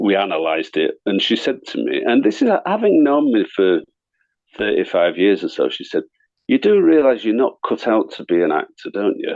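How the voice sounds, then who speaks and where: A man speaks at a moderate pace with a Yorkshire accent. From northern England, Leeds. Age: 60s. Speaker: actor and artist. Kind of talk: interview chat. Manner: halting, many repetitions.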